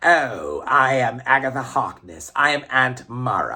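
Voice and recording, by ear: A man puts on a raspy character voice at a medium pitch. He speaks at a fairly slow pace with ordinary pitch variation.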